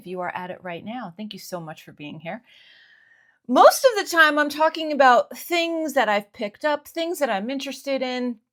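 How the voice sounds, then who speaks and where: A woman with a Northeastern American accent, high in pitch, with very wide pitch swings, big swings in loudness, and a moderate pace. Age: 50s. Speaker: stationery YouTuber. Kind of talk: casual talk to camera. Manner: relaxed, conversational.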